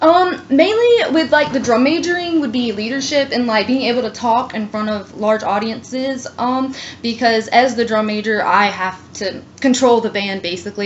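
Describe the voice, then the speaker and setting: Amid noticeable background noise, a woman talks at a moderate pace, her pitch varying in an ordinary way. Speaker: college student applicant. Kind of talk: job interview. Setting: phone call. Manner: hesitant, many fillers.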